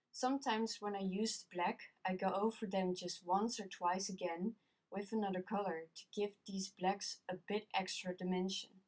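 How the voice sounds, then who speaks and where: A woman with a Dutch accent talks with hardly any pauses and fairly even intonation. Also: medium pitch for a woman, moderate pace. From Netherlands. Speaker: colored pencil artist. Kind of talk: tutorial narration.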